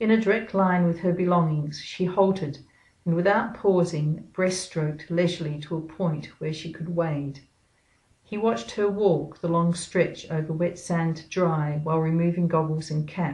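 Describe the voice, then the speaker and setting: Her voice is somewhat breathy, and the woman keeps her intonation fairly even. She moves at a moderate pace. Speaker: author reading her own novel. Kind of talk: audiobook-style reading of a thriller excerpt.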